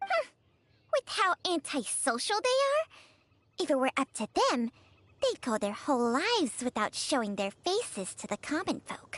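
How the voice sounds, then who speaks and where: A female-sounding, put-on character voice speaks high for a woman at a moderate pace. Long pauses come often. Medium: video game. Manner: haughty, sardonic.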